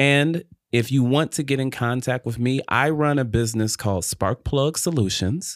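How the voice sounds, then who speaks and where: A man with a plain, everyday voice at medium pitch and moderate pace, very even in loudness, the sound dry and close with no echo on a very clean recording with a silent background. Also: ordinary pitch variation. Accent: American. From Detroit, Michigan. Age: young. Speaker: podcast guest, small business owner. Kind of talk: faith-based interview, personal testimony.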